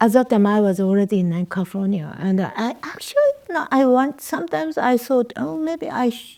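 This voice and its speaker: In a Japanese accent, a woman speaks at a moderate pace with a fairly high voice. Her tone is dark and mellow, and her pitch swings very widely. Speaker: poet and writer. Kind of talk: interview. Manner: halting.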